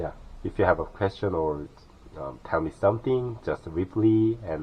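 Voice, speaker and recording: Over noticeable background noise, a man with a Korean accent speaks at a very slow pace with lively intonation. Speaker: vlogger living in his car. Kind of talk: casual vlog tour. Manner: halting, many fillers.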